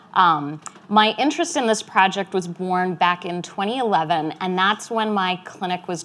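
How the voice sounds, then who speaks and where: Her pitch is medium for a woman, with ordinary variation. She speaks at a moderate pace. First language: Spanish. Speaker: physician and academic researcher. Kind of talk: conference talk. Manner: frequent filler words.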